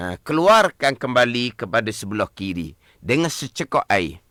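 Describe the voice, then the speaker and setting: Bright and sharp in tone, a man speaks fairly slowly with very wide pitch swings. The sound is dry and close, with no echo. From Malaysia, Terengganu. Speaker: religious teacher. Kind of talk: religious lesson on radio. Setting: radio studio.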